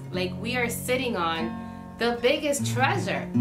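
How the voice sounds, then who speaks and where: A fairly slow pace over music in the background. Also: woman. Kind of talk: casual vlog chat. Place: home room.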